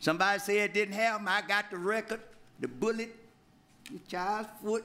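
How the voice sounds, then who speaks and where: Raising and projecting his voice, a man with an Alabama accent speaks at a moderate pace in a high, bright, sharp tone with ordinary pitch variation. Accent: Southern US, Alabama. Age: 80s+. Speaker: pastor and civil rights leader. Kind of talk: public comment at council meeting. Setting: city council chamber.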